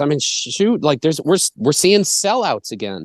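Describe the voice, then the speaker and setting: Against a quiet background, a man with an American accent speaks at a moderate pace in a fairly high pitch with vocal fry and a dry, close sound with no echo. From Massachusetts, US. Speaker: bluegrass band musician. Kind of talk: casual interview conversation.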